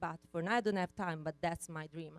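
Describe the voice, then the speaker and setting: A woman with an Italian accent talks with fairly even intonation, recorded with a dry, close sound and no echo. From Italy. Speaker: conference speaker. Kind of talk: keynote talk. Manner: hesitant, many fillers.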